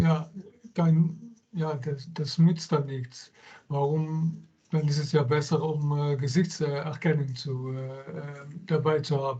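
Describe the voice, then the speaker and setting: In a German accent, a man speaks very slowly with a fairly high pitch, a somewhat breathy, dark, mellow tone and fairly even intonation. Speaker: workshop attendee. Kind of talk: audience question. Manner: halting.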